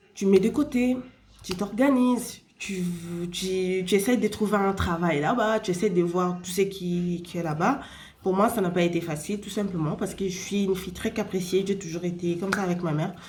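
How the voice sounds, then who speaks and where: At a moderate pace, a woman speaks in a medium pitch with ordinary pitch variation and audible room echo. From Spain. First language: Spanish (speaking French). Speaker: vlogger. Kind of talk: casual advice talk to camera. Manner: halting, many fillers.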